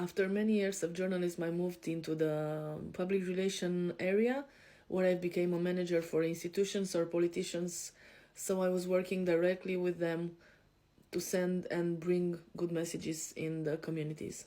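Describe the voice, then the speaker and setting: A woman's fairly low voice, dark and mellow in tone, flat and monotone in intonation, at a moderate pace. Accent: European. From Romania. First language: Romanian. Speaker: life coach. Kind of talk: podcast self-introduction. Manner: hesitant, frequent fillers.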